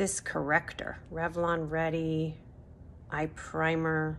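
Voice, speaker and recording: Over light background noise, a woman speaks at a very slow pace in a very deep, low pitch. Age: 60s. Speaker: beauty vlogger. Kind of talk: product review. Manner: casual, hesitant with fillers. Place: home room. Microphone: phone near.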